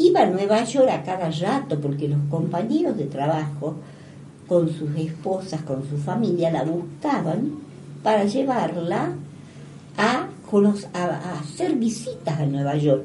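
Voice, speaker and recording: A woman's fairly low voice at a very slow pace with lively intonation, amid noticeable background noise and audible room echo. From Argentina. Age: 80s+. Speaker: retired school teacher and principal. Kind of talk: interview. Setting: radio studio.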